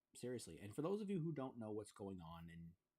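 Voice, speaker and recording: A man with an American accent speaks at a fairly low pitch. His intonation is lively and his pace fairly quick. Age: 30s. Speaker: gaming streamer. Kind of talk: live stream monologue. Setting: live stream. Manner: halting.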